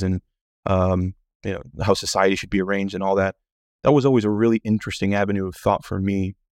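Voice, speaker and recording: A fairly low-pitched man with an American accent, in a dry, close sound with no echo against a quiet background. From US Midwest (Kansas City, Kansas), later Miami. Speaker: senior editor of a political publication. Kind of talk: casual interview. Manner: halting, many fillers.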